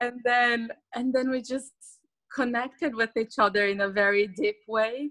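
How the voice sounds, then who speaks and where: Bright and sharp in tone, a woman with a Portuguese accent speaks at a moderate pace in a fairly high pitch with ordinary variation, the sound dry and close with no echo. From Brazil. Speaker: psychologist turned remote worker. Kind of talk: interview.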